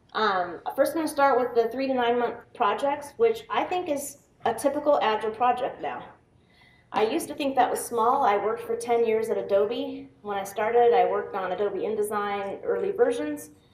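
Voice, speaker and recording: Someone with an American accent speaks at a moderate pace with lively intonation, and the room echo is audible. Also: woman, fairly high pitch for a woman. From US Pacific Northwest, Seattle. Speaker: software tester and quality director. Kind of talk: conference talk. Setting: stage with audience. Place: meeting room.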